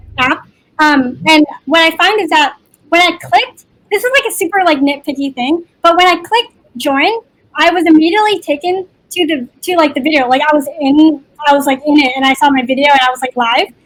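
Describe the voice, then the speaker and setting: With an energetic tone, a woman talks at a fairly quick pace in a high pitch with ordinary pitch variation. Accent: American. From Seattle, US Pacific Northwest. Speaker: computer science student and software intern. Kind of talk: online Q&A panel. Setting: video call. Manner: fast.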